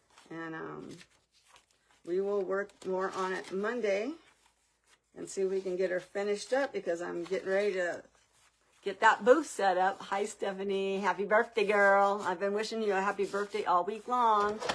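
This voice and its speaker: This woman has an unremarkable speaking voice, medium in pitch. She keeps a moderate pace and fairly even intonation. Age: 60s. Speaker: crafting livestream host. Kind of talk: live craft stream chat. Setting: live stream.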